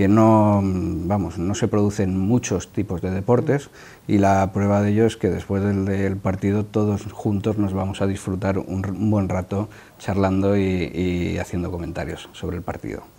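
This man has a fairly low pitch and a dark, mellow tone. He keeps a moderate pace with fairly even intonation. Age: 50s. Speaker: veteran rugby player; guest. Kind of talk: TV interview. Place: studio. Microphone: lapel.

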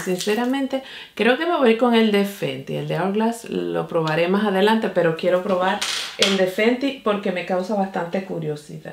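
Amid light background noise and audible room echo, a woman speaks at a moderate pace with ordinary pitch variation. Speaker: beauty vlogger. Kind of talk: casual makeup tutorial chat. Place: home room.

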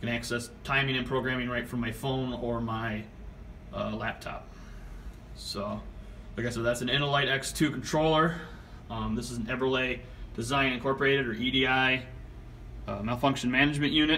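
A man talks at a fairly quick pace with fairly even intonation over light background noise. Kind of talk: tutorial. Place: home room. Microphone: phone near.

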